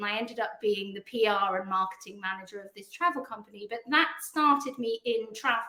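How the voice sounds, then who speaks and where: In a British accent, the voice has a bright, sharp tone, ordinary pitch variation and a fairly quick pace. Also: woman. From England. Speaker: PR agency founder. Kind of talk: podcast interview.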